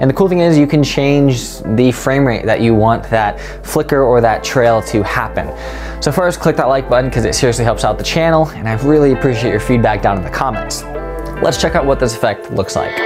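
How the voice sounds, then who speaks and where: Clear music is audible behind the voice. The man talks at a fairly quick pace. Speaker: video editing creator. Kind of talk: casual tutorial vlog chat. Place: home room. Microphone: lapel.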